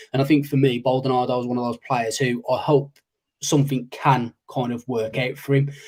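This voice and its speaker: The speaker delivers the words fairly quickly in a flat monotone with a somewhat breathy quality. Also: man, medium pitch for a man. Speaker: podcast co-host. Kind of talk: casual chat. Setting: live stream.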